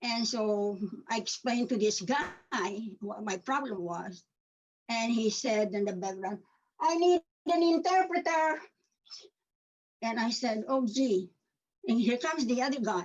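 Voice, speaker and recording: Someone with a Filipino accent speaks at a fairly slow pace, leaving long, frequent pauses. The pitch swings very widely. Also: woman, fairly high pitch for a woman. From Philippines. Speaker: community member sharing story. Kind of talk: personal testimony.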